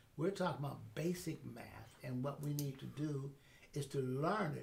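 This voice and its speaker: A man's voice that comes across as somewhat breathy. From Pittsburgh. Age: 80s+. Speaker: educator and mentor. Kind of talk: interview answer.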